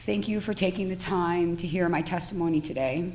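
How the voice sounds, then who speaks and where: Heard through noticeable background noise and audible room echo, the voice holds a moderate pace with ordinary pitch variation. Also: woman. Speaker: cannabis dispensary applicant and trade association president. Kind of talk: testimony at public hearing. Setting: legislative hearing room. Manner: formal, reading prepared remarks.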